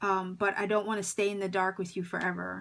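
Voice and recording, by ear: At a fairly quick pace, a woman speaks with a medium pitch, little pitch movement, vocal fry and a fairly bright tone.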